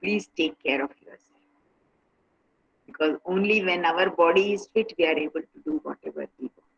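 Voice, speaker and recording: A woman with an Indian accent. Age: 70s. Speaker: meditation and yoga speaker. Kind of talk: talk to online workshop participants.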